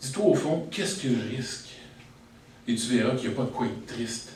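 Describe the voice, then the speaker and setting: In a Quebec accent, a man with medium pitch and ordinary pitch variation talks at a fairly slow pace. Audible room echo and noticeable background noise surround him. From Quebec, Saint-Sulpice area. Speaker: slam poet. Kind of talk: slam poetry performance. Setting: stage with audience.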